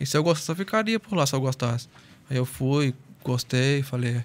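A man's voice, medium in pitch, moves along at a fairly quick pace. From Espírito Santo, Brazil (Celina); Espírito Santo, Brazil. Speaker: professional footballer; guest. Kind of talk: casual interview chat. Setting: studio. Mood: calm, grateful. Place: studio. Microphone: studio mic.

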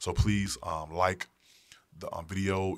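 This man's voice sits at a very deep, low pitch. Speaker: product reviewer. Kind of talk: casual review talk to camera. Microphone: studio mic.

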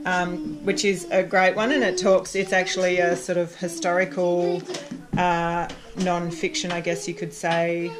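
A woman's fairly low, fairly slow voice with little pitch movement over faint background noise

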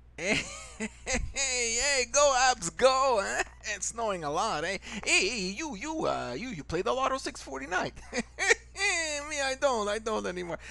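A man's cartoonish character voice in an Italian accent, extremely high-pitched and raised, projected, with very wide pitch swings at a fairly slow pace over light background noise. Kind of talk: comedy cartoon voiceover.

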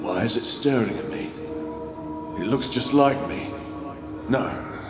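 Over clear background noise and with clear echo, a man speaks at a fairly slow pace. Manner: frightened, unraveling, muttering to himself.

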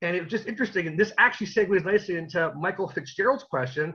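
A man with a Canadian accent at a very fast pace, his bright, sharp tone full of lively intonation, over a quiet background. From Canada. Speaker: interviewer. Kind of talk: casual chat. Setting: video call. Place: home room. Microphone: video call.

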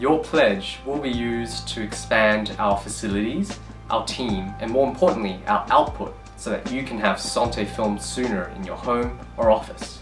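The speech moves at a moderate pace. Music plays clearly in the background. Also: man. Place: studio.

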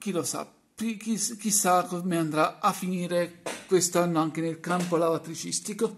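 Speech comes at a fairly slow pace with fairly even intonation over light background noise. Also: man, high pitch for a man. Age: 30s. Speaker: YouTuber, washing machine hobbyist; YouTuber. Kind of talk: vlog monologue. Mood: celebratory, proud. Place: home room. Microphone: phone near.

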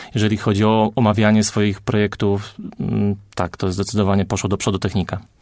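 In a monotone, flat delivery, a man with a fairly low pitch talks at a very fast pace. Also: very even loudness. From Poland, Greater Poland (small town near Wągrowiec). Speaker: architect. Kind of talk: radio interview.

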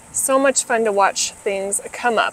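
A woman is speaking. The sound is dry, with no echo at all. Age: 30s. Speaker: lifestyle vlogger. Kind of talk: casual vlog narration. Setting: outdoors in garden. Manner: relaxed, with filler words. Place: garden. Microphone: lapel.

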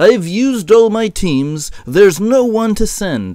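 Using a put-on character voice, a man speaks slowly with high pitch, big pitch swings and a dark, mellow tone.

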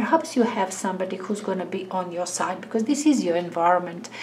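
A woman speaks fairly quickly with lively intonation while noticeable noise sounds in the background. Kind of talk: tarot reading monologue. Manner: halting.

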